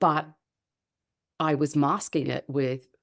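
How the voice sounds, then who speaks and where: A woman speaks at a fairly slow pace, her pitch very deep and low, with vocal fry. The recording is very clean, the background silent. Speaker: holistic empowerment coach. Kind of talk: interview answer.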